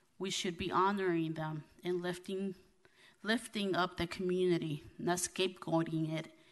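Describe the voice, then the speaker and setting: With a plain, everyday voice, a woman speaks at a moderate pace and fairly low pitch, keeping her intonation fairly even over a quiet background. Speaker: city council president; city council member. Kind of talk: formal meeting proceedings. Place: hall. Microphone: podium.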